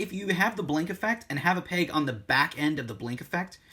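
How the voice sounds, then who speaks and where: A man speaks at a fairly quick pace in a high-pitched voice with a bright, sharp tone. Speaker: toy figure reviewer. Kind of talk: product review. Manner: hesitant, many fillers.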